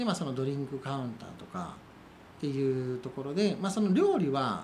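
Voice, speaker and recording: With a Kansai accent and lively intonation, a man speaks amid audible room echo and noticeable background noise. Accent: Kansai Japanese. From Wakayama, Japan (Kinokawa). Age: 40s. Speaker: coffee roaster and cafe owner. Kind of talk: interview.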